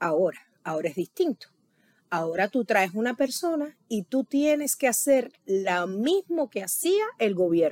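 At a fairly slow pace, a woman of medium pitch swings her pitch very widely, with a dry, close sound and no echo. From Cuba. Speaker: Cuban immigrant interviewee. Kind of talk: interview. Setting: late-night recording.

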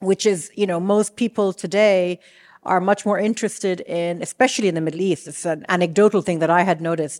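In an ordinary speaking voice, a woman talks at a fairly quick pace and medium pitch with fairly even intonation, recorded very cleanly with a silent background and a dry, close sound with no echo. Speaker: podcast host. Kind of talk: interview with scripted intro. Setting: stage with live audience.

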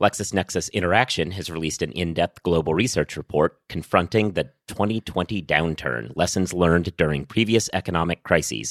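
With vocal fry and a very deep, low pitch, a man talks at a fairly quick pace with hardly any pauses and ordinary pitch variation, the sound dry and close with no echo on a very clean recording with a silent background. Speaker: legal news podcast host. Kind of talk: casual banter about legal news.

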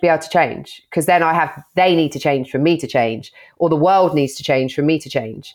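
Her pace is fairly quick and her pitch very deep and low. The woman's pitch variation is ordinary. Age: 30s. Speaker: content creator and show presenter. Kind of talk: casual chat. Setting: video call.

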